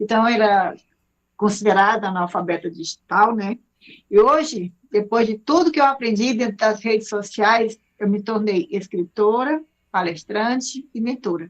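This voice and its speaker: A woman speaks in a plain, everyday voice, fairly high in pitch, at a moderate pace with ordinary pitch variation. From Brazil, Ceará (Fortaleza). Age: 60s. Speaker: speaker and mentor. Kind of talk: self-introduction on radio. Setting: radio studio.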